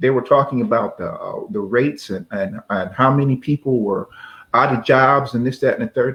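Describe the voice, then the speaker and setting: A man speaks at a medium pitch with ordinary variation and a moderate pace. His voice is somewhat breathy. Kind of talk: casual talk-show host conversation.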